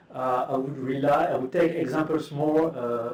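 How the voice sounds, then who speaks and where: Audible room echo around a male speaker with a fairly high pitch, a fairly slow pace and ordinary pitch variation. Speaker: academic speaker. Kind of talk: conference talk. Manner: halting.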